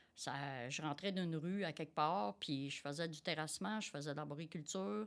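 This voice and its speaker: On a very clean recording with a silent background, a woman with a Quebec accent speaks at a very deep, low pitch and a moderate pace, with lively intonation. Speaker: tradeswoman and quality director. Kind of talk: interview conversation. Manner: energetic; hesitant, many fillers.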